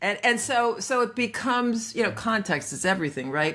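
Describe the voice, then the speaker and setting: At a moderate pace, a woman speaks in an animated tone that is bright and sharp, with very wide pitch swings and some vocal fry. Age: 60s. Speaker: coach. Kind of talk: podcast interview.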